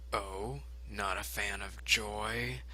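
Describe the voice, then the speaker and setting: A man puts on a character voice while background noise is clearly heard. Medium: read story. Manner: smug.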